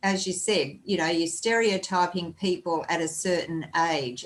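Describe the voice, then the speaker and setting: Speaking with an Australian accent, a woman uses a fairly low pitch and fairly even intonation. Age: 60s. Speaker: podcast host. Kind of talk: casual chat.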